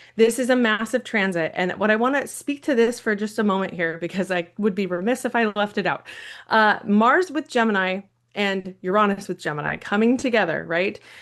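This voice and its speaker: Against a quiet background, a woman speaks at a medium pitch in an animated tone with ordinary pitch variation. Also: fairly quick pace. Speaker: astrologer. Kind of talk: live stream astrology forecast. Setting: live stream. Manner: fast.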